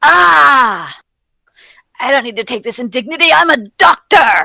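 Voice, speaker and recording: In a put-on character voice, a female-sounding speaker goes shrill and high-pitched for a woman, with very wide pitch swings. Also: moderate pace. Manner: screeching, indignant.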